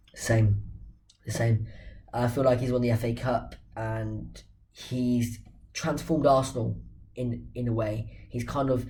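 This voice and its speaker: A man's fairly slow speech with long, frequent pauses and audible room echo. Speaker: football channel host. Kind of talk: casual football talk to camera.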